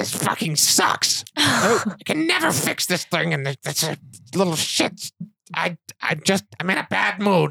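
A put-on character voice sits at a middle pitch and moves at a fairly slow pace. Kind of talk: casual, profane. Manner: grumpy, frustrated.

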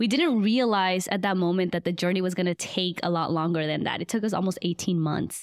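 A woman with a Spanish accent talks at a fairly quick pace with hardly any pauses, medium pitch, ordinary pitch variation and very even loudness. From Guatemala, raised in Atlanta, Georgia. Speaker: medical student and nonprofit founder. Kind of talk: interview.

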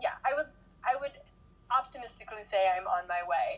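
Her pitch swings very widely as the woman talks with an American accent. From US, parents from the South and Jersey City. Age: 30s. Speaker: meditation and yoga teacher. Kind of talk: casual chat.

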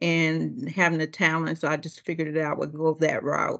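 Against a quiet background, a woman with an American accent talks fairly quickly in an ordinary speaking voice pitched fairly low. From Ohio, US Midwest. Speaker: district manager, former bus driver. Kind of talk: interview.

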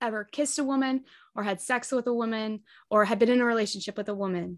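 A woman at a very fast pace with ordinary pitch variation, against a quiet background. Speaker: podcast co-host. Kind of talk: casual chat.

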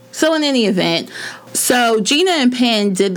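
A woman's voice with lively intonation at a moderate pace, over noticeable background noise. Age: 30s. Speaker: podcast co-host. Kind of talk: casual chat.

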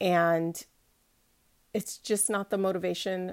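The recording is very clean, with a silent background. A woman at medium pitch, an unremarkable speaking voice, talks at a moderate pace. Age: 40s. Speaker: podcast host and life coach. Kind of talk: motivational solo podcast talk. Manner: conversational, with laughter.

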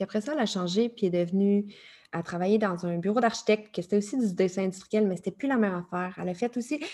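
Talking at a very fast pace, a woman has a dark, mellow tone. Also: medium pitch for a woman, ordinary pitch variation. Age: 30s. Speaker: life coach. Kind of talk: interview. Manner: animated.

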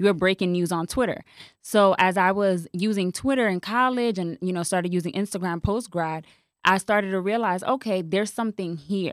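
A woman with a normal speaking voice talks fairly quickly at medium pitch with ordinary pitch variation, the sound dry and close with no echo. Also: very clean recording, silent background. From New York City, the Bronx. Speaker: marketing consultant. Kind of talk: casual interview. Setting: studio.

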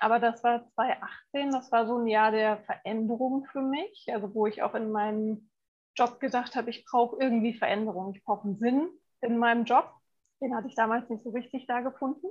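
A woman talks fairly quickly in a normal speaking voice. Her pitch is fairly high and her intonation fairly even. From Frankfurt, Germany. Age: 40s. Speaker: essential oils consultant and massage therapist. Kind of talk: casual interview.

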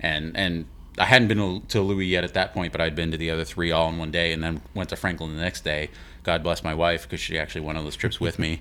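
With an American accent, a man speaks very fast in a very deep, low pitch, his tone bright and sharp and his intonation fairly even. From Houston, Texas. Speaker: podcast host. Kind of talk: casual chat.

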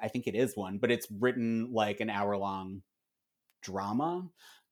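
Recorded very cleanly against a silent background, a man with an American accent talks at a moderate pace and medium pitch in an unremarkable speaking voice. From US, Philadelphia. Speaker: television writer and comedian. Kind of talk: casual chat.

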